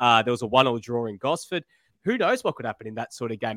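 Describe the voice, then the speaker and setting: A man's bright, sharp tone with very wide pitch swings, in a dry, close sound with no echo and a very clean recording over a silent background. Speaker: football podcast co-host. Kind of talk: casual chat.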